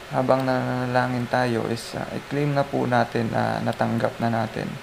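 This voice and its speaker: Soft-spoken, a man talks over noticeable background noise. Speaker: lay preacher sharing devotion. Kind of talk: devotional talk. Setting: lying down in bed. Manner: halting.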